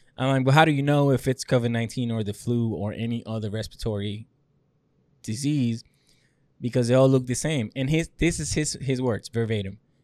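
A man with an American accent talks at a fairly quick pace in an ordinary speaking voice, his medium pitch showing ordinary variation. The recording is very clean, with a silent background. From a developing country outside the US. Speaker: podcast co-host, military veteran. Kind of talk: casual chat.

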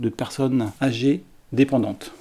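Fairly even intonation marks a man's dark, mellow tone. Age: 60s. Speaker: care home director. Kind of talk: interview testimony. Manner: halting.

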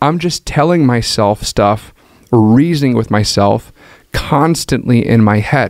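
A man with an ordinary speaking voice at medium pitch, very even loudness and ordinary pitch variation. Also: fairly slow pace. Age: 30s. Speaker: pastor. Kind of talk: casual chat.

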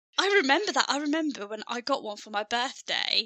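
A woman with a Birmingham accent at a fairly quick pace. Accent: Birmingham (Brummie). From Birmingham, England. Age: 30s. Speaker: podcast host and counsellor. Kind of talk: casual chat. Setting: video call. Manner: talkative, rambling.

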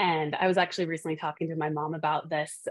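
A woman with an American accent and an unremarkable speaking voice, fairly low in pitch, at a fairly quick pace. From Montana, US. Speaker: dental company director of professional relations. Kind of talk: interview conversation.

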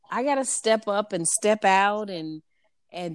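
A woman with an American accent at a medium pitch and a fairly slow pace, ordinary pitch variation, on a very clean recording with a silent background. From US Midwest, Saint Louis, Missouri. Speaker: entrepreneur. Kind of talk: testimony.

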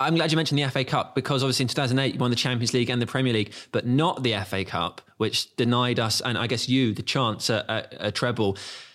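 A man speaks with an English accent at a very fast pace. The recording is very clean with a silent background. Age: 30s. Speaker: podcast host. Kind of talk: casual chat. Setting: stadium suite.

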